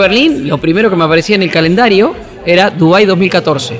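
A man with a Rioplatense accent speaks at a high pitch and a moderate pace. His pitch variation is ordinary, and there is crowd noise in the background. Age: 50s. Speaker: sports journalist. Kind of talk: interview. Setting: café.

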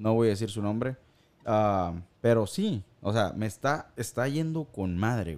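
Here a man talks at a fairly slow pace with a fairly low pitch. His intonation is lively. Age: 40s. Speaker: podcast host. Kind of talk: casual chat. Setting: live stream. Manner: animated.

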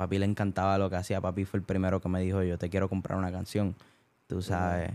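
Speaking in a Puerto Rican accent, a man has a very deep, low voice with a dark, mellow tone and a flat, monotone delivery. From Puerto Rico (Bayamón). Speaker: singer. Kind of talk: casual chat. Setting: rented house late at night. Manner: quiet, laid back.

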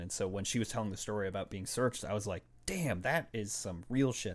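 Speaking at a fairly quick pace, a man with a fairly low pitch and ordinary pitch variation has an ordinary speaking voice. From Boston, Massachusetts (Puerto Rican family). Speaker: podcast guest. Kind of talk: casual chat.

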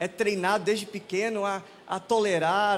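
Speaking at a fairly slow pace, a man has a high pitch. His intonation is monotone and flat. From Manaus, northern Brazil. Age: 30s. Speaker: pastor. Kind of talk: sermon. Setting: church.

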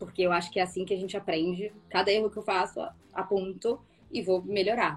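In a strong Rio de Janeiro accent, a woman with a medium pitch speaks at a fairly quick pace. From Rio de Janeiro, Brazil. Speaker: actress and student. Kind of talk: casual interview chat.

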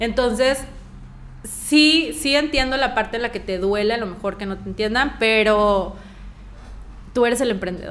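Amid audible room echo, a woman with a Mexican accent speaks at a moderate pace and a fairly high pitch, using ordinary pitch variation and long, frequent pauses. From Mexico. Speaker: coffee brand founder and actress. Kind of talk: interview.

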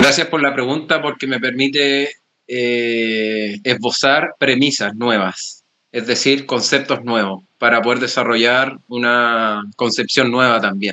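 A man's medium-pitched voice moves very slowly, its intonation fairly even. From Chile. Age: young. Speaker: psychologist and men's work facilitator. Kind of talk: interview.

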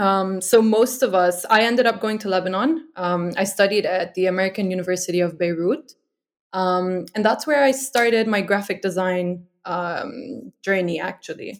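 A woman with a normal speaking voice keeps a moderate pace and a medium pitch, varying it in an ordinary way. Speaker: design manager. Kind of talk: casual interview.

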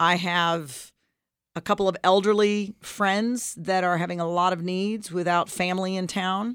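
A woman speaks in an ordinary speaking voice at a fairly slow pace with fairly even intonation. The recording is very clean with a silent background. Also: medium pitch for a woman. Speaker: radio co-host and leadership coach. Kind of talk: casual co-hosted radio discussion.

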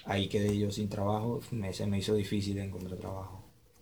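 Amid audible room echo, a man speaks in a fairly low, dark, mellow, somewhat breathy voice with monotone, flat intonation. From Venezuela, Maturín, Monagas (eastern Venezuela). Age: 20s. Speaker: migrant telling his story. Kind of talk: interview testimony. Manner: halting, many repetitions.

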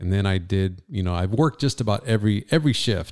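Very deep and low in pitch, a man with an American accent talks at a fairly quick pace in a dark, mellow tone, with a dry, close sound, no echo, and a very clean recording over a silent background. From Southern California, Ventura County. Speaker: radio host and entrepreneur. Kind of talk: casual chat. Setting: studio.

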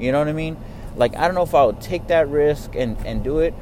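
Noticeable background noise runs under a man talking with an American accent. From Texas. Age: 30s. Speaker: podcaster. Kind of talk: casual monologue. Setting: in a car. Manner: casual, rambling with fillers.

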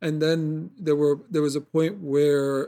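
This man's tone is dark and mellow. The recording is very clean, over a silent background. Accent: New York. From New York City, Queens. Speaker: acupuncturist. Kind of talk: casual chat.

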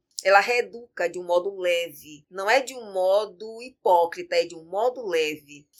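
A plain, everyday voice from a woman at medium pitch, fairly slow with hardly any pauses, ordinary pitch variation and big swings in loudness. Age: 50s. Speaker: capoeira master and arts educator. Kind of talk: interview.

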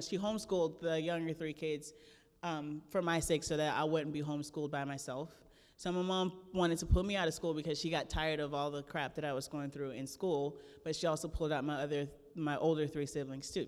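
With an American accent, this woman talks fairly quickly in a very deep, low register. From US South, South Florida Everglades. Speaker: guest speaker. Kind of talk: testimony. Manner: animated.

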